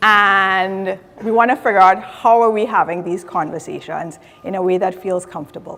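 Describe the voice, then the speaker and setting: A woman speaks in a Trinidadian accent. Her pitch is medium and her pace moderate. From Trinidad and Tobago. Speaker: diversity and inclusion specialist. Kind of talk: conference talk.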